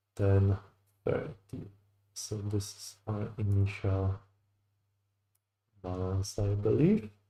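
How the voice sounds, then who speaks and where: On a very clean recording with a silent background, a man with a fairly low pitch and a dark, mellow, somewhat breathy tone speaks at a very slow pace with long, frequent pauses, fairly even intonation and big swings in loudness. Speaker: futures day trader streaming live. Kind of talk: live trading commentary, thinking aloud. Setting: live stream.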